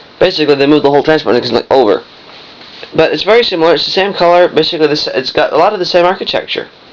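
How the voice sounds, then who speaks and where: Very fast speech over noticeable background noise. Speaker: vintage electronics hobbyist. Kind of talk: product demonstration.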